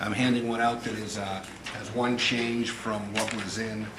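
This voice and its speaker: Amid audible room echo and noticeable background noise, a man speaks at medium pitch with monotone, flat intonation. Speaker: school board president chairing meeting. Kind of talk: public meeting chairing. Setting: school board meeting room. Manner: loud.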